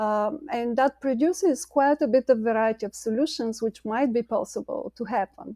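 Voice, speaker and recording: A woman with a Bulgarian accent speaks at a high pitch in a dark, mellow tone, with hardly any pauses. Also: ordinary pitch variation, moderate pace, dry, close sound with no echo. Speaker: climate scientist and company co-founder. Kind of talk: interview. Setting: video call.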